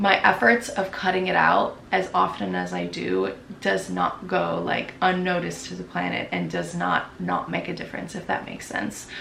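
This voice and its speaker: The voice moves at a moderate pace, with audible room echo around it. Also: woman. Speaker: lifestyle vlogger. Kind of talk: casual Q&A vlog talk. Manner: casual, many filler words.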